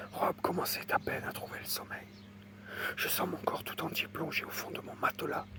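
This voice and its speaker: A man whispers over noticeable background noise. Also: moderate pace. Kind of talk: ASMR whispered reading. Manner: whispered.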